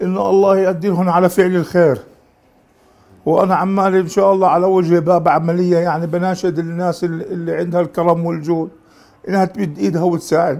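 Pitched high, a man talks at a moderate pace in a monotone, flat intonation. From Palestine. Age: 40s. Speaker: municipal sanitation worker with severe obesity; interviewee. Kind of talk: interview testimony. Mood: pleading, earnest. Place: home room.

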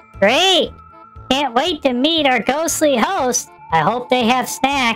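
A put-on character voice talks at a high pitch and a fairly slow pace. Music plays clearly in the background. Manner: sarcastic.

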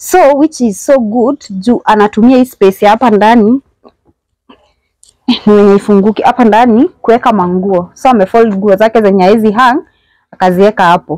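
A woman speaks at a moderate pace in a dark, mellow tone with ordinary pitch variation and very even loudness, the sound dry with no echo and the background quiet. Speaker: house tour host. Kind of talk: casual vlog chat. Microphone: phone near.

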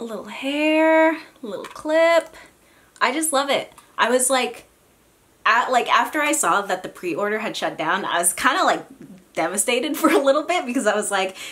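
At a moderate pace, a woman speaks in a high voice. She leaves long, frequent pauses. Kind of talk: casual talk to camera. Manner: casual, chatty.

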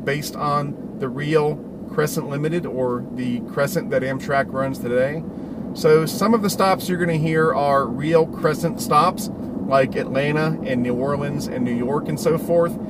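A man talks fairly slowly while loud background noise surrounds him. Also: ordinary pitch variation. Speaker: hobby channel host. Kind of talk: casual vlog chat. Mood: excited, upbeat. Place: car. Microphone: phone near.

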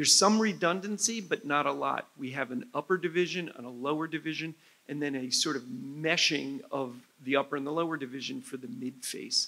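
A man's bright, sharp, fairly high voice, fairly quick and lively in intonation. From New Jersey. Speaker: head and neck surgeon. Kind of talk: medical lecture. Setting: conference stage with audience. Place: hall. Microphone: lapel.

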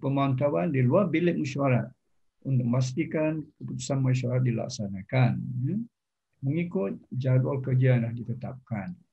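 Against a quiet background, a man with a Malaysian accent speaks at a fairly slow pace. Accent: Malaysian Malay. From Selangor, Malaysia. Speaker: retired professor. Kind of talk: formal interview. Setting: video call. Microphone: video call.

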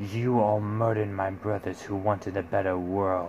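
A man uses a put-on character voice, fairly low in pitch, with monotone, flat intonation. He talks at a moderate pace over clear background noise. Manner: evil, growling, angry.

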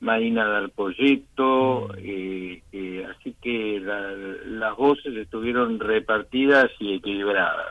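A man with a fairly low pitch speaks at a very slow pace. He uses fairly even intonation and hardly any pauses. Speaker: economist. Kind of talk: phone interview.

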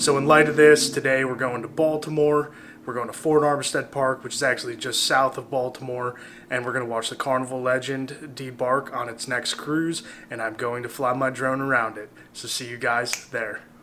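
Over noticeable background noise, a man speaks in a monotone, flat intonation. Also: moderate pace. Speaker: travel vlogger. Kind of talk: casual vlog chat. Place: home room.

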